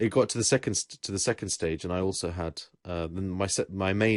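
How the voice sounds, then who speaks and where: A man with a very deep, low pitch and ordinary pitch variation speaks at a moderate pace. The sound is dry and close with no echo, over a quiet background. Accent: English. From England. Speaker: podcast host. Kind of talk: casual chat.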